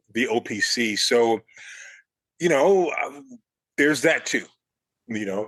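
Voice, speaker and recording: Lively intonation marks this man's medium-pitched voice, delivered with an American accent. He talks at a fairly slow pace with long, frequent pauses. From Chicago South Side. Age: 60s. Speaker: architecture critic. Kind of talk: interview.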